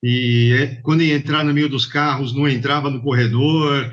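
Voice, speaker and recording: Using a normal speaking voice, a man talks at a fairly slow pace with a fairly high pitch. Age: 50s. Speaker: logistics manager, former bike courier. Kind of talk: interview.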